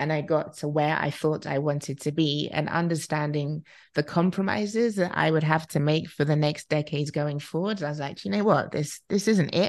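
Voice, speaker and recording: With a British accent and a very deep, low pitch, a woman speaks at a moderate pace with hardly any pauses and ordinary pitch variation against a quiet background. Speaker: relocation expert. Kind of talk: casual chat.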